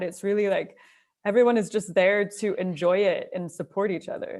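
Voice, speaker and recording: A plain, everyday voice from a woman, medium in pitch, with a Canadian accent and a moderate pace. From Canada, Alberta (near Calgary). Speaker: trail runner. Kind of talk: casual interview chat.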